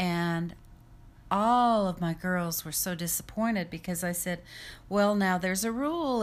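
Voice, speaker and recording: A woman with an American accent has an ordinary speaking voice at medium pitch. She speaks at a fairly slow pace with ordinary pitch variation. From Utah and Idaho, US. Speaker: home health caregiver. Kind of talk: testimony.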